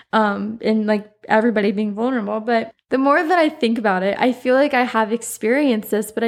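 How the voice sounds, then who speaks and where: Her pitch sits fairly high for a woman, and she talks at a moderate pace. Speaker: podcast host. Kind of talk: casual solo monologue. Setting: home recording with microphone. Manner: chatty, frequent laughter.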